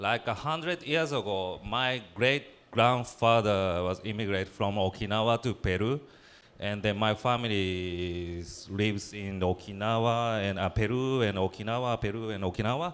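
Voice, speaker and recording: Speaking in a Japanese accent, a man talks at a moderate pace with a fairly low pitch and ordinary pitch variation. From Japan, Tokyo area. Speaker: playwright and theater director. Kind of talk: symposium presentation. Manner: halting.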